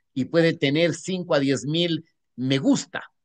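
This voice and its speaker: A man speaks at a high pitch with lively intonation and a fairly slow pace. The sound is dry and close, with no echo. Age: 70s. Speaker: newspaper executive and former politician. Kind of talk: Q&A at an online academic conference. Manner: hesitant, with repeated words and fillers.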